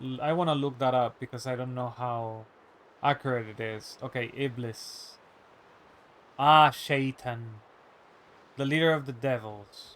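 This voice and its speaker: A man speaks at a fairly slow pace and medium pitch, with fairly even intonation. He leaves long, frequent pauses. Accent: non-native. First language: not English. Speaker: streamer. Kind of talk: casual live-stream chat. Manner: halting, many fillers.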